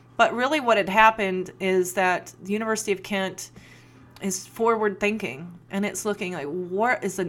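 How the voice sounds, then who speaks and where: Music plays behind a woman who speaks at a moderate pace with an American accent and ordinary pitch variation. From Appalachia, US. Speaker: sociology lecturer and podcast host. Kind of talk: solo podcast monologue. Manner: casual, conversational.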